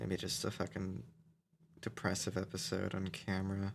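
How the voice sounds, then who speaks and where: This man's voice sits very deep and low, with vocal fry. He talks at a moderate pace. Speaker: vlogger. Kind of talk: casual rant. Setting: home recording, microphone. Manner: halting.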